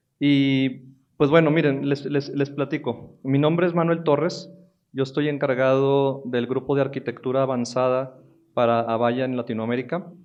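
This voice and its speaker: This man has a northern Mexican accent and a fairly high pitch. He speaks at a moderate pace with fairly even intonation. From northern Mexico, Monterrey. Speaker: technology executive. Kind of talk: conference talk. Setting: stage with audience. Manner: halting, with many fillers.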